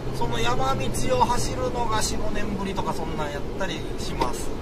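Loud background noise fills the clip. A man speaks over it at a fairly slow pace. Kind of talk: casual driving commentary. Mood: relaxed, chatty. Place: car.

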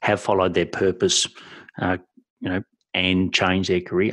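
Against a quiet background, a man with a strong Australian accent speaks in a very deep, low pitch. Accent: broad Australian. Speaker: podcast host and business mentor. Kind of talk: interview.

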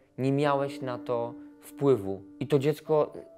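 Faint music sits in the background as the speaker goes at a very slow pace. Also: man. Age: 30s. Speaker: fitness trainer. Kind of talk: interview answer. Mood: emotional, reflective. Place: home room.

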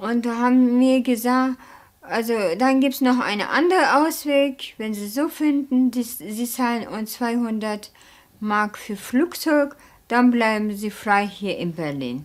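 A woman speaks with a Turkish accent in a high pitch. Her pace is very slow. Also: ordinary pitch variation. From Turkey. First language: Turkish (speaking German). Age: 30s. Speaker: factory worker returning to Turkey. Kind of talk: documentary interview. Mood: calm, reflective. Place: studio.

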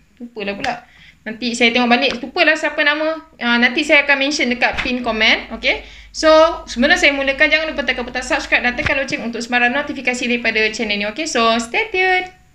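Over light background noise, a raised, projected voice rushes along at a very fast pace with ordinary pitch variation. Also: woman, high pitch for a woman. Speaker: YouTuber host. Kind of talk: casual talk to camera. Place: home room.

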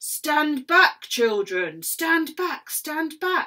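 A woman shouts in a put-on character voice, raised and projected. Her pitch is high and her pace very slow. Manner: shouting.

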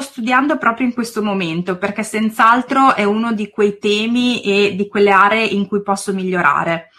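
In an Emilian accent, a woman speaks with hardly any pauses in a fairly high, bright, sharp voice. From northern Italy, province of Reggio Emilia. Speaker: preschool teacher and YouTuber. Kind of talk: interview.

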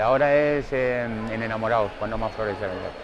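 A man speaks fairly quickly at a medium pitch with ordinary pitch variation. Clear background noise is present.

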